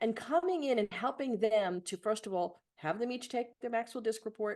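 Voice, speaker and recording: Using a normal speaking voice, a woman with an American accent talks at a moderate pace, her fairly high pitch showing ordinary variation. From New York City (Bronx). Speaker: leadership coach and trainer. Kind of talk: podcast interview.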